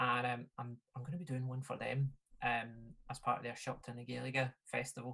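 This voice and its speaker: With a Glaswegian accent, a man speaks at a moderate pace and medium pitch in a bright, sharp tone with monotone, flat intonation. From Glasgow, Scotland. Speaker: folk musician and DJ. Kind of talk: casual chat. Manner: halting.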